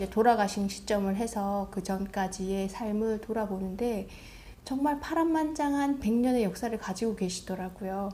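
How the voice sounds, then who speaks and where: A woman with a medium pitch and a dark, mellow tone speaks at a moderate pace, somewhat breathy, with ordinary pitch variation. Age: 40s. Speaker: book vlogger. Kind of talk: casual reflective monologue.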